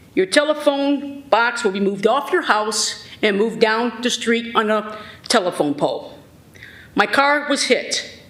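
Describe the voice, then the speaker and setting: With noticeable background noise behind, the speaker talks at a fairly slow pace in an American accent. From Sandusky, Ohio. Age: 60s. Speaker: resident speaking at public hearing. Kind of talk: public comment complaint. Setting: city board meeting. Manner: animated, agitated.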